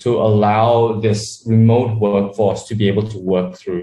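A man's somewhat breathy, fairly low voice at a fairly slow pace. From Australia (Sydney), born in Malaysia. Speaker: startup co-founder. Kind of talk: interview.

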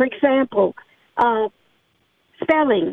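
A woman speaks in a high voice. Her pace is very slow. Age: 70s. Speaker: caller, retired teacher. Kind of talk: call-in opinion. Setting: phone call.

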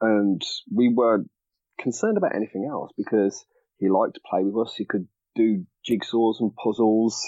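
A man with a Birmingham accent, at a moderate pace. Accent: Brummie. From Birmingham, England. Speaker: parent blogger. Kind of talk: casual chat.

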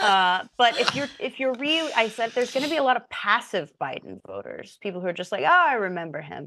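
The voice has an American accent, a bright, sharp tone, and vocal fry, with very wide pitch swings. It moves at a fairly quick pace with hardly any pauses over a quiet background. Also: woman, fairly high pitch for a woman. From Indiana, US Midwest. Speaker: writer and podcast co-host. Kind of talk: casual interview conversation.

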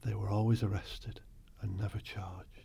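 Speaking at a fairly quick pace, a man uses a fairly low, dark, mellow voice with vocal fry. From northern England, Bolton, Lancashire. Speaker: poet. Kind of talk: interview.

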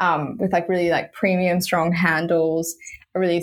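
At a moderate pace, a woman with an Australian accent speaks at a fairly low pitch with fairly even intonation. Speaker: women's football club founder. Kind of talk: casual chat. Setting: video call.

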